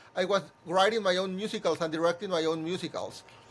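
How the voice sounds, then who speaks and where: A man with a Spanish accent speaks at a fairly quick pace. His pitch is high for a man and his intonation is monotone and flat. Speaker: musical theatre composer and director. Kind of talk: interview conversation. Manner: halting, many repeated words.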